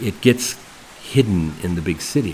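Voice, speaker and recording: A man with a very deep, low pitch over noticeable background noise. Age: 70s. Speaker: retired expat. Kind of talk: interview. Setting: indoors after rain.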